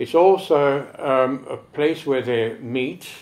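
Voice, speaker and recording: The speaker is a man with a medium pitch. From Egypt, Alexandria. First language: French. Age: 70s. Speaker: choirmaster. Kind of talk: interview. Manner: halting.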